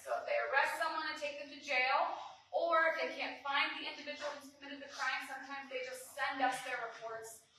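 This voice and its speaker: Projecting a raised voice at a high pitch, a woman speaks at a moderate pace with ordinary pitch variation and audible room echo. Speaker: district attorney. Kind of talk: public presentation at town hall. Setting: town hall meeting with audience. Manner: many filler ums.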